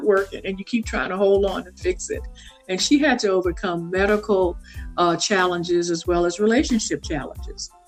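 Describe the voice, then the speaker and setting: Music plays in the background. A woman speaks with a Southern US accent and lively intonation. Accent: Southern American English. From south Louisiana, USA. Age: 60s. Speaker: consultant and author. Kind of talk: podcast interview answer.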